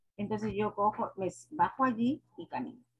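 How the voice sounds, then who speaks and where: A woman speaks in a somewhat breathy voice with very wide pitch swings. The background is quiet. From Peru. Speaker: schoolteacher; teacher in training session. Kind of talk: presentation. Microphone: video call.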